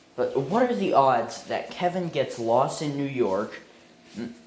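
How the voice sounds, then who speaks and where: Amid noticeable background noise and audible room echo, a man talks fairly slowly at a fairly high pitch. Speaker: amateur movie reviewer. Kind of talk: casual video review monologue. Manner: halting, repeats words.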